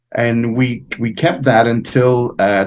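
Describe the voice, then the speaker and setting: A man speaks with a Montreal accent. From Quebec, Montreal. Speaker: fraternal organization president. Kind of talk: interview. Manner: halting.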